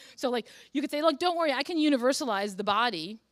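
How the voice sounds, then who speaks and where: A woman at a very fast pace, her pitch swinging very widely. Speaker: philosophy professor. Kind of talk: keynote lecture. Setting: conference stage with audience. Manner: frequent fillers, um and uh.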